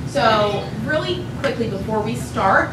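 A woman's voice comes through audible room echo and loud background noise. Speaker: presenter. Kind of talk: public presentation introduction. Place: hall.

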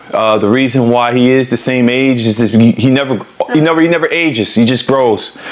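A man talks at a moderate pace. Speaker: street minister leading Bible study. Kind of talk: casual joking chat before Bible study. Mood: playful joking. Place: home room.

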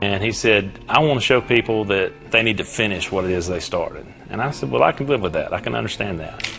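Very fast speech from a man with fairly low pitch, with faint music in the background. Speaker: football coach. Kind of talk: interview answer. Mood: calm, reflective.

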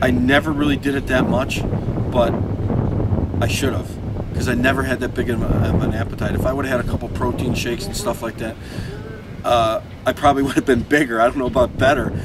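A man talks at a very fast pace. Loud background noise sits under a dry sound with no echo. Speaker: interviewee. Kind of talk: interview answer. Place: street. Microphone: lapel.

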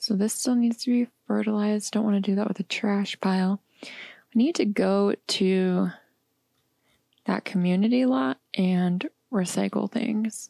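A soft-spoken woman talks at a fairly slow pace in a relaxed, dark, mellow tone with ordinary pitch variation and long, frequent pauses. The sound is dry and close with no echo, and the recording is very clean with a silent background. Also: medium pitch for a woman, very even loudness. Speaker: gamer. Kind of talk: casual gameplay commentary. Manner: soft-spoken, relaxed.

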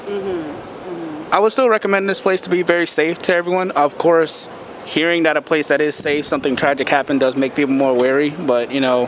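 With an American accent, a man talks at a fairly quick pace, the sound dry with no echo but with noticeable background noise. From South Carolina, US. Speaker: interviewee, foreign resident; interviewee. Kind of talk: street interview. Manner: halting. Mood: serious, reflective. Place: street. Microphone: handheld.

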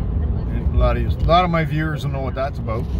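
A man talks at a moderate pace over loud background noise, the sound dry with no echo. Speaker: homesteading vlogger. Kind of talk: casual vlog chat. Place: car. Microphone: phone near.

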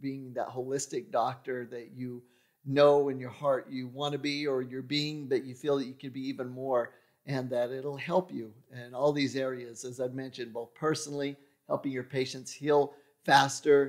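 This man talks at a moderate pace in a monotone, flat intonation. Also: quiet background. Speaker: podcast host. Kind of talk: podcast monologue. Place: studio. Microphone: studio mic.

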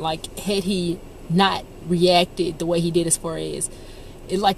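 A woman's fairly low, flat monotone voice, dry with no echo, over noticeable background noise. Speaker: vlogger. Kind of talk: casual vlog chat. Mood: reflective, thankful after accident. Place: car. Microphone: phone near.

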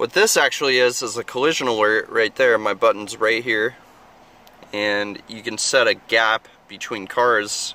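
In a dry sound with no echo, a man speaks at a moderate pace in a monotone, flat intonation. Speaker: car salesman. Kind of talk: product walkaround tour. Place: car. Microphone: phone near.

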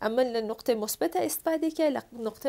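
With a dark, mellow tone and vocal fry, a woman speaks at a fairly high pitch, fairly quickly, with lively intonation. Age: 30s. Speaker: film and stage actress; stage actress. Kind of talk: talk show interview. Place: studio.

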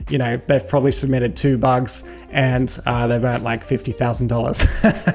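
Faint music can be heard in the background. A man talks over it at a moderate pace. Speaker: security educator. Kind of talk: tutorial commentary over screen share.

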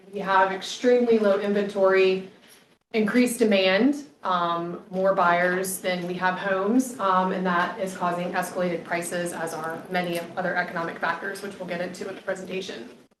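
Audible room echo and noticeable background noise surround a woman speaking at a medium pitch with fairly even intonation. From Virginia, Powhatan County. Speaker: trade association representative. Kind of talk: presentation. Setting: public meeting. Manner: fast.

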